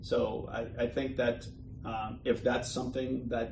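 A man talks at a medium pitch with vocal fry and fairly even intonation. Room echo is audible. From Bosnia and Herzegovina. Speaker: entrepreneur. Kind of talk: interview. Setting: office. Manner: hesitant, many fillers.

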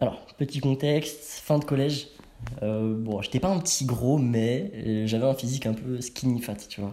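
At a fairly slow pace, a man with a medium pitch talks with ordinary pitch variation. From Paris suburbs, France. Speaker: street workout athlete. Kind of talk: casual chat. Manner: animated.

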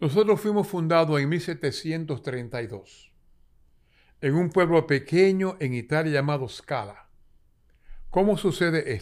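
Speaking very slowly with long, frequent pauses, a man with a Dominican accent uses a fairly high pitch and lively intonation on a very clean recording with a silent background. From Dominican Republic, San Juan de la Maguana. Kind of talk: interview storytelling.

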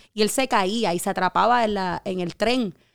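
A woman speaks with a Puerto Rican accent and ordinary pitch variation. The recording is very clean, dry and close, with a silent background and no echo. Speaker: teacher. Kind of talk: casual chat.

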